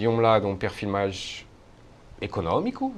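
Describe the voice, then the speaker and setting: A French accent at a moderate pace. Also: man. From France. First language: French (speaking Portuguese). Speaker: professor, Asia studies researcher. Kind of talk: interview. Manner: halting, many hesitations.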